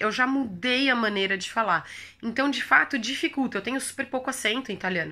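Raised and projected, a woman's high voice carries a bright, sharp tone at a moderate pace, with ordinary pitch variation on a very clean recording against a silent background. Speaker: language-learning youtuber. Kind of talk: casual vlog tutorial.

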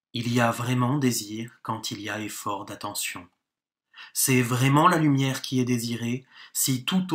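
A man with a plain, everyday voice, medium pitch, ordinary pitch variation and a fairly slow pace. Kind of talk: audiobook reading of a philosophical text. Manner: formal, measured, steady; calm, contemplative, even-paced delivery.

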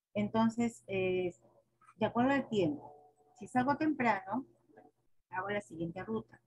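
Over faint background music, a woman speaks at a fairly slow pace with lively intonation. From Peru. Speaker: schoolteacher; teacher in training session. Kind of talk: presentation. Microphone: video call.

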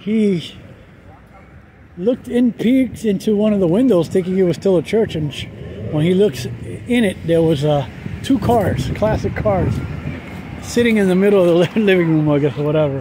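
A man with a high pitch, long, frequent pauses, a dry sound with no echo, and noticeable background noise. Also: lively intonation, moderate pace. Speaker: walking tour narrator. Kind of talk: casual vlog chat. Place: street. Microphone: phone near.

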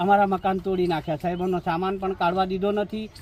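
A man speaks in a monotone with flat intonation. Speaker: displaced local resident. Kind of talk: news interview testimony.

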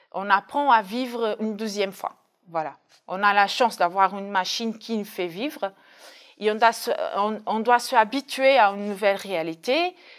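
This woman's voice sits fairly high, and it rises and falls in an ordinary way. She keeps to a moderate pace. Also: quiet background. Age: 30s. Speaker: dialysis patient. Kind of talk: testimony. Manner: hesitant, with fillers. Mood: calm, reflective. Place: studio. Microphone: lapel.

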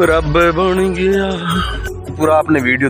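A man speaks with ordinary pitch variation in a dry sound with no echo. Clear music plays in the background. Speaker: village vlogger. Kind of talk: casual vlog chat. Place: open country. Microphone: phone near.

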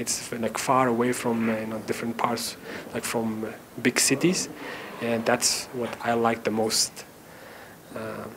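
A medium-pitched man at a fairly slow pace over noticeable background noise. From Tajikistan, Khujand; Tajikistan. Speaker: university maths lecturer. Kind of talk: interview answers to camera. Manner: hesitant, many fillers. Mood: warm, earnest. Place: classroom.

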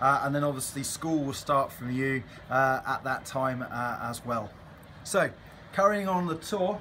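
There is light background noise as a man speaks at a moderate pace with ordinary pitch variation. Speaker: ship crew guide. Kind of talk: guided tour talk. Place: boat. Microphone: phone near.

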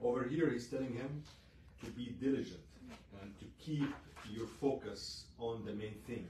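At a fairly slow pace with ordinary pitch variation, the speech carries audible room echo and noticeable background noise. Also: man. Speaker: pastor leading a Bible study. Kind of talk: sermon. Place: church. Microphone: camera far.

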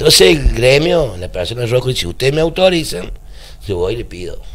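Moderate pace from a man's voice. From Argentina. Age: 50s. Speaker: trade union leader; guest. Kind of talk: radio interview. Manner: halting. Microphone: handheld.

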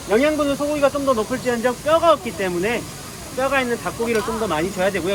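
The speech is very fast. Background noise is noticeable. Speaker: zookeeper. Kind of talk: live animal talk to visitors. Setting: outdoors.

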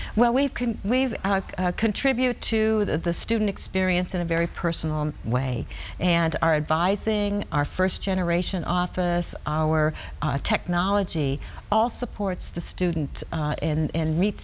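Speaking with an American accent, a woman uses a fairly low pitch and lively intonation. She goes at a fairly slow pace with very even loudness. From US Midwest, rural west central Wisconsin. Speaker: university president; guest. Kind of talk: TV interview. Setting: TV studio. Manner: halting, many fillers and repetitions. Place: studio. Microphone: lapel.

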